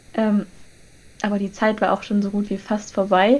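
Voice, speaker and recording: Fairly quick speech from a woman with a fairly high pitch. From northern Germany, Lüneburg. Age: young. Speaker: podcast co-host, university student. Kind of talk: casual chat.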